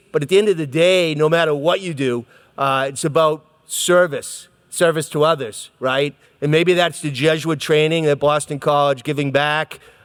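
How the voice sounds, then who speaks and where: With an American accent, a man talks at a moderate pace in a fairly high voice with ordinary pitch variation. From Brockton, Massachusetts. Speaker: mayor. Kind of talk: speech to students. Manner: casual, talkative.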